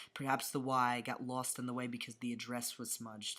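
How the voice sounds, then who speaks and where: With a New York accent, a man delivers bright, sharp words at a fairly quick pace and medium pitch, monotone and flat, on a very clean recording with a silent background. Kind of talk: poetry reading. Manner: occasionally tongue-tied.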